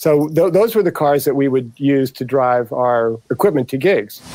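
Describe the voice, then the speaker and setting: In an American accent, a man speaks with a dark, mellow tone. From US Midwest, St. Louis, Missouri. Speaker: record producer and mixing engineer. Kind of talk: casual interview chat.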